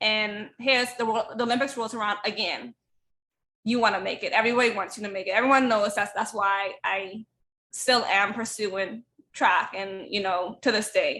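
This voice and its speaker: This woman has a Bahamian accent and a bright, sharp tone, her pitch fairly high. She talks at a moderate pace with fairly even intonation. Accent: Bahamian island. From Bahamas (Eleuthera). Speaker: track athlete and life coach. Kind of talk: casual interview chat.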